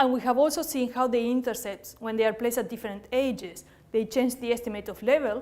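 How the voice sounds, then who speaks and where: A woman with a Spanish accent talks at a fairly high pitch with fairly even intonation, recorded very cleanly against a silent background. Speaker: statistician/epidemiology researcher. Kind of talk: academic lecture. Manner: hesitant, many fillers.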